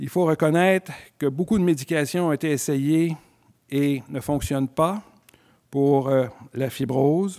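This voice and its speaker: Against a quiet background, a man with a dark, mellow tone talks at a fairly slow pace, leaving long, frequent pauses. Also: fairly high pitch for a man, ordinary pitch variation. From Quebec. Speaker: physician and scleroderma researcher; physician lecturer. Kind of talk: lecture. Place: hall. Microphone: podium.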